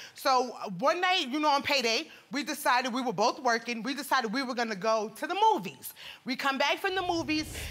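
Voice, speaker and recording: A woman with a New York accent, animated in tone, lively in intonation, high-pitched, at a fairly quick pace. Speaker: litigant in a TV court case. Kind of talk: courtroom testimony. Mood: aggrieved, animated. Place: studio. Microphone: lapel.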